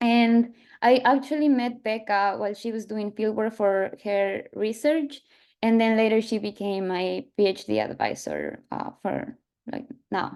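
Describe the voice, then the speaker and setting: The speaker has an Ecuadorian accent and fairly even intonation. The pace is fairly slow against a quiet background. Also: woman, fairly high pitch for a woman. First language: Spanish. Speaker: PhD student, field biologist. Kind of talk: panel talk with slides. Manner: halting, many fillers.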